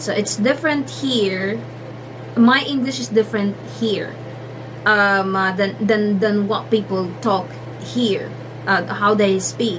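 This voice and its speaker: Amid noticeable background noise and audible room echo, a woman with a Filipino accent uses lively intonation and takes long, frequent pauses. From Philippines. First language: Filipino (Tagalog). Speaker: vlogger. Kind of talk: casual vlog talk. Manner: halting, many fillers.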